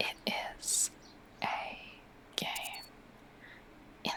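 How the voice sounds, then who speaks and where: A whisper delivered at a very slow pace, with noticeable background noise behind it. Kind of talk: ASMR whispered gaming commentary. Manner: whispered; soft-spoken, rambling.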